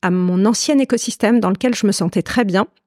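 With a medium pitch and ordinary pitch variation, a woman speaks at a moderate pace. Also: dry, close sound with no echo. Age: 40s. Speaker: consultant on ageing. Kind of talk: interview. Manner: hesitant, many fillers.

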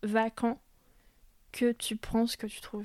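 A woman speaks at a fairly high pitch with a dark, mellow tone. The sound is dry and close, with no echo. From Paris suburbs, France. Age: 30s. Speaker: cultural project manager. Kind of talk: casual interview. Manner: hesitant.

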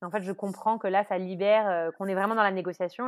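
In a very clean recording with a silent background, a woman with a normal speaking voice talks at a medium pitch with fairly even intonation. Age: 30s. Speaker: recently divorced mother. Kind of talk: personal testimony.

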